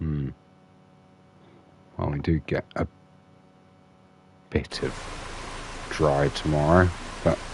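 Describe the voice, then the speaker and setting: A man talks at a very slow pace in a very deep, low voice, with a relaxed tone and flat, monotone intonation. His long, frequent pauses sit over noticeable background noise. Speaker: gaming streamer. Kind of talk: live gameplay commentary. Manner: relaxed, hesitant with fillers.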